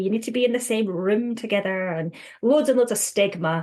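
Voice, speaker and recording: A woman with a Scottish accent, a fairly high pitch and a moderate pace. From Scotland. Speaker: counsellor. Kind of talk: podcast interview.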